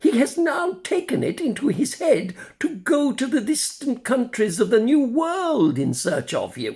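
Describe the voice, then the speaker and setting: A man's put-on character voice at an extremely high pitch, moderate in pace with hardly any pauses. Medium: read story. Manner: gentle, fatherly.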